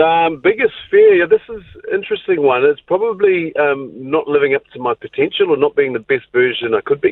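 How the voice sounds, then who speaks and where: A man with a New Zealand accent at a fairly quick pace, with hardly any pauses. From New Zealand, Northland. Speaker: former rugby league player. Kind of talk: radio interview. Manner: halting, many fillers and repetitions.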